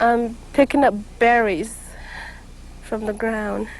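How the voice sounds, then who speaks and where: A woman with a high voice speaks in an American accent. Her pace is very slow. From Kickapoo community, Texas-Mexico border. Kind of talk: interview testimony. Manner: halting, stammering.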